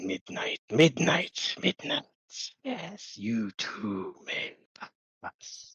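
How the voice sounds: Someone puts on a low-pitched character voice and speaks at a very slow pace.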